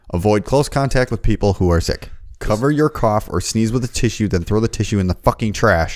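The speaker has an unremarkable speaking voice, with ordinary pitch variation and very even loudness. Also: man, medium pitch for a man. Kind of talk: casual chat. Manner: profane, casual banter.

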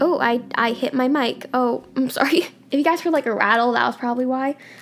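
A woman talks in a high pitch with ordinary pitch variation. Noticeable background noise sits behind her. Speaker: podcast host. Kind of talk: personal vlog-style monologue. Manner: halting, hesitant.

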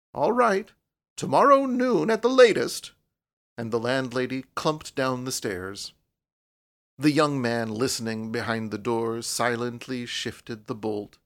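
With a plain, everyday voice, a man speaks at a fairly slow pace with ordinary pitch variation on a very clean recording with a silent background. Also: medium pitch for a man. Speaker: audiobook narrator. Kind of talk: dramatic narration, reading a story aloud. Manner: suspenseful, hushed and tense, with shifting character voices.

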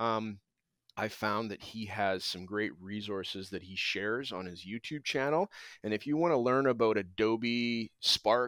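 A man with a plain, everyday voice and a Canadian accent speaks at a medium pitch and a fairly slow pace with ordinary pitch variation, on a very clean recording with a silent background and a dry, close sound with no echo. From Alberta, Canada. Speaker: teacher, former pharmaceutical chemist. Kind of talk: casual interview chat.

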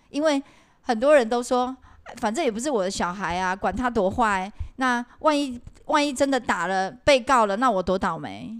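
The speaker has a plain, everyday voice. Its intonation is lively, and the pace is moderate. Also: woman, fairly high pitch for a woman. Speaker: podcast co-host, former cram school English teacher. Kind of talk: casual chat.

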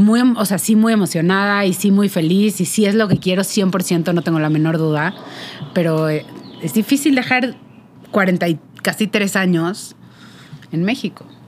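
A woman with a Mexican accent speaks at a fairly slow pace. Her pitch is medium, with ordinary variation. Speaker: podcast co-host. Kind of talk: casual chat.

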